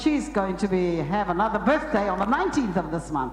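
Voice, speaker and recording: Noticeable background noise and audible room echo around a woman speaking fairly high. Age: 70s. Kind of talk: testimony. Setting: church.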